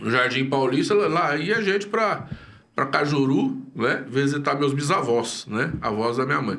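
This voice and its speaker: Speaking fairly slowly, a man with a fairly high voice uses lively intonation at a very even loudness. Room echo can be heard. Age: 60s. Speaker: pastor. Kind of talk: casual interview chat. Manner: hesitant, many fillers and repeats.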